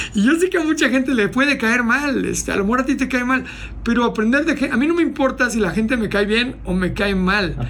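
A man's voice at an extremely high pitch, with ordinary pitch variation, very even loudness and a fairly quick pace, plus noticeable background noise and audible room echo. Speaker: motivational speaker and entrepreneur. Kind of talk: casual interview.

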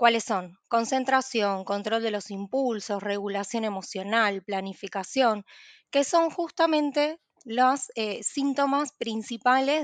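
An unremarkable speaking voice moves at a fairly slow pace. The sound is dry and close with no echo, over a quiet background. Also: woman. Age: 20s. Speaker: psychologist. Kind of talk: expert interview explanation.

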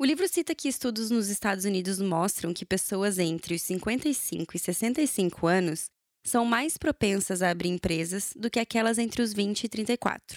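This woman has a normal speaking voice at medium pitch, with lively intonation and a fairly slow pace, in a very clean recording with a silent background and a dry, close sound with no echo. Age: 30s. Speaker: journalist, podcast host. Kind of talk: solo monologue podcast.

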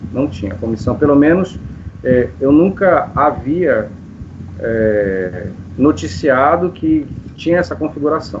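A man speaks very slowly at a fairly high pitch, his voice swinging very widely up and down, with long, frequent pauses. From Brazil, Manaus (Amazonas). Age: 50s. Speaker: composer and science teacher. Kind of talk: interview.

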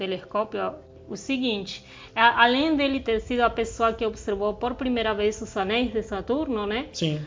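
With a Spanish accent, the speaker talks at a fairly slow pace with ordinary pitch variation. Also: woman. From southern Argentina. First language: Spanish (speaking Portuguese). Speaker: science podcast co-host. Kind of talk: casual educational chat.

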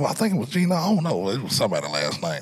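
Over noticeable background noise, a man speaks in an American accent with very wide pitch swings. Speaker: podcast host. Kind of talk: casual chat. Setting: studio.

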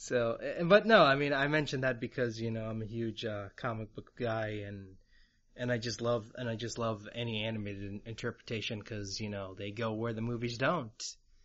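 Speaking at a fairly quick pace, a man with a medium-pitched voice and an American accent keeps his intonation fairly even. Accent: American-sounding English. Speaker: podcast host. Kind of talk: casual interview. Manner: halting.

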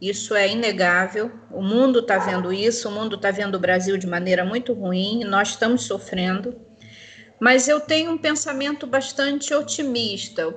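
Speaking at a moderate pace in an ordinary speaking voice, a woman uses lively intonation at a fairly high pitch. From Rio de Janeiro, Brazil. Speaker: nursing professor and theologian. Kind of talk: panel discussion.

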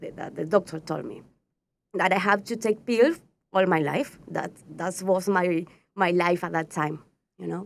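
A woman with a Spanish accent talks at a moderate pace and medium pitch, with ordinary pitch variation and vocal fry. Her loudness swings widely, and she leaves long, frequent pauses. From Patagonia, Argentina. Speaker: astrologer. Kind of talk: interview. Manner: halting.

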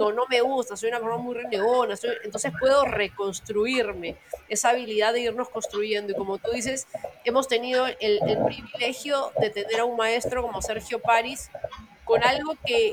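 At a moderate pace, a woman with a fairly high pitch speaks in fairly even intonation over noticeable background noise. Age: 40s. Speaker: life coach. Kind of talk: interview. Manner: hesitant, many fillers.

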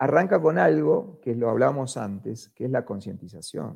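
A man speaks in an Argentine accent, his tone dark and mellow with vocal fry. His pitch swings very widely. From Argentina. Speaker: media executive. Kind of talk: interview conversation. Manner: animated.

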